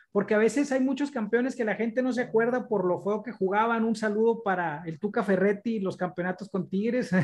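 Hardly any pauses break up the speech. It runs at a fairly quick pace. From Mexico, Monterrey. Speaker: football podcast host. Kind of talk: casual interview.

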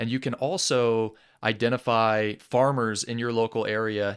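Speaking with an American accent, a man with an unremarkable speaking voice talks at a medium pitch with fairly even intonation. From England and US (Atlanta), mixed upbringing. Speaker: outdoorsman and content creator. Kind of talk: casual interview. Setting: studio.

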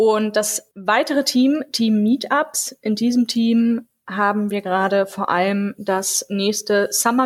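Speaking very slowly with hardly any pauses, a woman at a fairly high pitch keeps a fairly even intonation in a very clean recording with a silent background. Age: 20s. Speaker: law student and youth group leader. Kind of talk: casual podcast chat.

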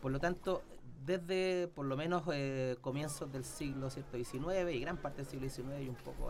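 This man has an ordinary speaking voice, fairly high in pitch. He talks at a fairly slow pace with ordinary pitch variation. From Chile, Santiago. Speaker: historian. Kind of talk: casual interview. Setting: studio.

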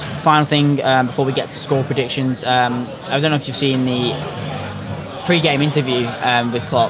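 Crowd noise fills the background as a man with a fairly high-pitched voice talks at a moderate pace. His intonation stays fairly even. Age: 20s. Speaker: football podcast co-host. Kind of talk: casual chat. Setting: pub, live stream.

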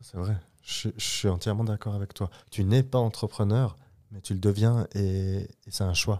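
A man with a dark, mellow tone and fairly low pitch talks at a fairly slow pace with fairly even intonation, on a very clean recording with a silent background. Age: 20s. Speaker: clothing company co-founder. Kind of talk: casual interview.

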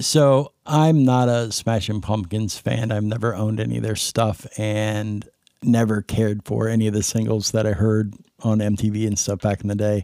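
At a moderate pace, a man talks in a fairly low, dark, mellow voice with fairly even intonation. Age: 40s. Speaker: podcast co-host, IT worker. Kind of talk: casual chat. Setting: Skype call.

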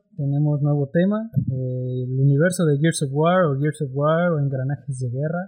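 A man with a fairly high pitch talks with hardly any pauses over music in the background. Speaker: podcast host. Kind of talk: casual chat.

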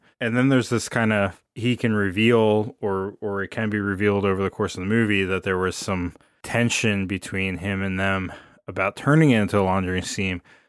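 A man speaks in a plain, everyday voice at a fairly quick pace and fairly low pitch. His intonation stays fairly even, and the recording is very clean with a silent background. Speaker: podcast host. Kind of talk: casual chat.

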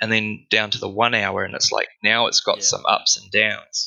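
The speaker is a man with an Australian accent. He talks at a moderate pace. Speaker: crypto trader. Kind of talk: casual chat.

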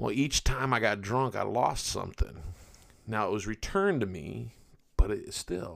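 Using a plain, everyday voice, a man talks at a moderate pace in a fairly low pitch with ordinary pitch variation and big swings in loudness. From Virginia, US. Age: 50s. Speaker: podcast host and rideshare driver. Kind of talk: casual solo podcast monologue. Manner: friendly, chatty.

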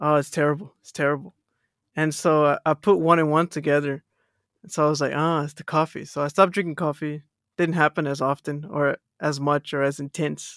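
On a very clean recording with a silent background, a man with an American accent speaks at a fairly high pitch in a monotone, flat intonation, with big swings in loudness. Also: fairly quick pace, dry, close sound with no echo. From Texas. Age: 20s. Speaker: podcast guest. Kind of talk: casual chat.

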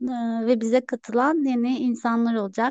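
A woman speaks. Her pace is very slow. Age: 30s. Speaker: salesperson and minimalism influencer. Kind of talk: casual chat.

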